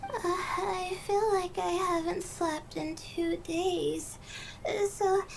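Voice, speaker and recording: The speech crawls along at a very slow pace while noticeable background noise carries on underneath. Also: woman. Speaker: game character. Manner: hesitant, halting.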